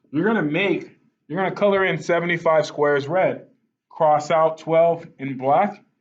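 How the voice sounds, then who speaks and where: In a normal speaking voice, a man talks at a moderate pace with fairly even intonation and a fairly high pitch. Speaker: math teacher. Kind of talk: tutorial.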